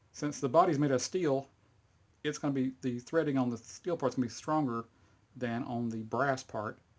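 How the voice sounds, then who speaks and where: A man with a Texas accent at a moderate pace, medium in pitch with ordinary pitch variation, on a very clean recording with a silent background. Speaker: hobbyist video maker. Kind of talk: tutorial. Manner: casual, halting with fillers.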